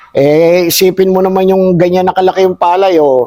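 Fairly even intonation from a man talking at a moderate pace. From Philippines. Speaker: rice farmer; interviewee. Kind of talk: casual interview chat. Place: farm machine. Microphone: camera far.

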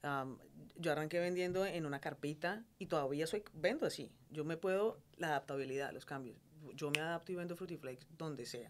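Light background noise sits under a woman talking at a moderate pace. Her pitch is very deep and low, with ordinary variation. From Colombia, Cali. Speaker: entrepreneur, food business owner; guest. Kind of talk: interview conversation. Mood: warm, animated, smiling. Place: studio. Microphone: studio mic.

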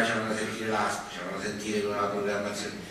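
A man with a fairly low pitch and a bright, sharp tone talks at a fairly quick pace amid strong room echo.

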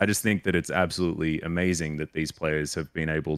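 Against a quiet background, a man talks at a fairly quick pace with a dry sound and no echo. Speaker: esports caster; podcast host. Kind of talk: podcast guest conversation. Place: home room. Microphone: studio mic.

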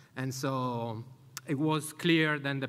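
With an Italian accent, a man talks at a fairly slow pace using fairly even intonation. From Italy. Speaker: conference speaker, community event organizer. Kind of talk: conference talk. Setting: stage with audience. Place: hall. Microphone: podium.

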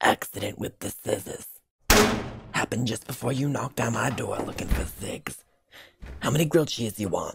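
A man does a raspy, cartoonish character voice at medium pitch. He keeps a moderate pace with long, frequent pauses. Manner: irritable, crude.

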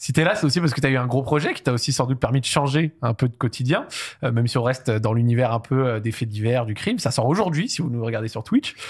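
A man's somewhat breathy voice is heard against a quiet background. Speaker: talk show host. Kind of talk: casual interview. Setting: studio. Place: studio. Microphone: studio mic.

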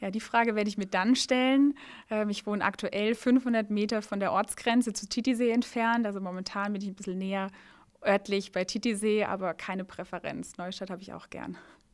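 The background is quiet as a woman speaks at a fairly quick pace. Her intonation stays fairly even. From Baden, Germany. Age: 30s. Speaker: mayoral candidate, lawyer; candidate. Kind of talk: rapid-fire interview. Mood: cheerful, smiling. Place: office. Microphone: handheld.

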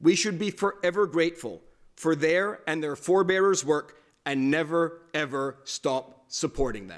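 At a moderate pace, a man speaks with ordinary pitch variation and big swings in loudness over a quiet background. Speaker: speaker. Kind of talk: formal speech. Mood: earnest, formal.

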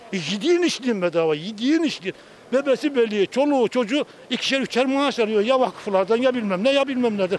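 With an extremely high pitch, a man talks very fast in an animated tone with lively intonation, over light background noise, in a dry sound with no echo. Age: 50s. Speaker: street interviewee. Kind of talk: street interview opinion. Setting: outdoors. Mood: critical, animated political opinion. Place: street. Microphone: handheld.

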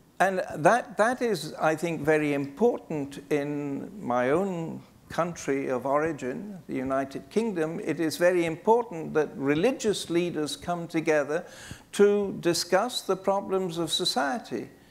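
Speaking at a fairly slow pace with a British accent, a man uses a high pitch and lively intonation. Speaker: archbishop. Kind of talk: panel discussion. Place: hall. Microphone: lapel.

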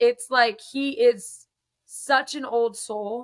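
A woman speaks with a high pitch against a quiet background. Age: 20s. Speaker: singer. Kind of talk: casual interview. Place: home room. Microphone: video call.

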